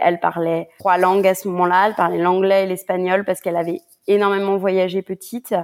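A woman speaks at medium pitch. The recording is very clean with a silent background. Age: 30s. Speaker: freelance content creator, expat. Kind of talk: interview testimony. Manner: halting.

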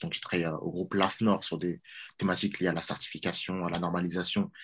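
A man talks at a fairly quick pace in a very deep, low pitch. His intonation is monotone and flat, on a very clean recording with a silent background. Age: 20s. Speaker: watch brand co-founder. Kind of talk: interview. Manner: halting, with repetitions.

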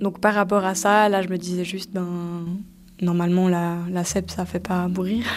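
Pacing is fairly slow, and the intonation stays flat and monotone. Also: woman, medium pitch for a woman. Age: 20s. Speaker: person living with multiple sclerosis. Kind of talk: personal testimony interview.

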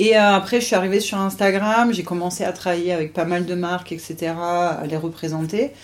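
A woman talks at a moderate pace in a fairly low pitch, with fairly even intonation and hardly any pauses. It is an ordinary speaking voice. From French Riviera. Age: 30s. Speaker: triathlete. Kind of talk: interview.

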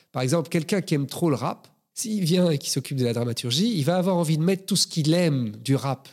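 The very clean recording has a silent background. A man with a fairly high pitch talks at a very fast pace with lively intonation. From Belgium, Brussels. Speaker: screenwriter and film director. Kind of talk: interview.

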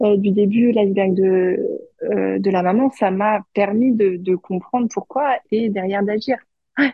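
A very slow pace with ordinary pitch variation. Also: woman. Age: 30s. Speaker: HR manager and mother. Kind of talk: testimony. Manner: halting.

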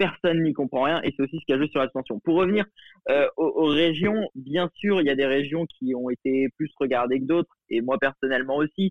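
Here a man speaks at a fairly high pitch and a moderate pace. His pitch varies in an ordinary way, and his loudness stays very even. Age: young. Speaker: journalism student. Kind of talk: casual interview. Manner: halting.

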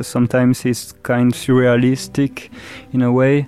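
A man of medium pitch with a French accent. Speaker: musician. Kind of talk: interview. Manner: halting.

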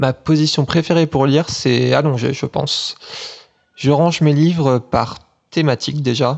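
A man with an ordinary speaking voice, fairly even intonation and a moderate pace. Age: 20s. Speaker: listener contributor. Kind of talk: monologue.

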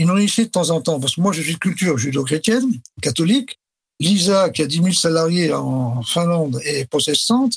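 Here a man with a high pitch and lively intonation talks at a moderate pace. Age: 70s. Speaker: retired company director. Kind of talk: interview. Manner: hesitant with fillers.

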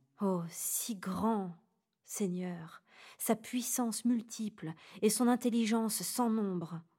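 Over a silent background in a very clean recording, a woman speaks very slowly at a fairly high pitch. Her tone is dark and mellow, and somewhat breathy. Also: ordinary pitch variation. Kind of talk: guided meditation and prayer. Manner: calm, slow, reverent.

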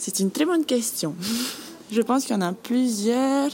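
Here a woman's voice has a dark, mellow tone. She talks at a moderate pace with ordinary pitch variation. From French Polynesia, Bora Bora. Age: 20s. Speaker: guesthouse manager. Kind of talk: interview.

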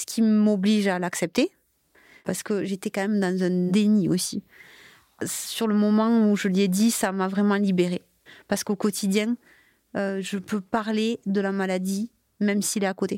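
Against a silent background on a very clean, dry, close recording with no echo, a woman speaks in a dark, mellow, monotone, flat voice with long, frequent pauses. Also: medium pitch for a woman. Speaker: multiple sclerosis patient and mother. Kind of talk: testimony. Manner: halting.

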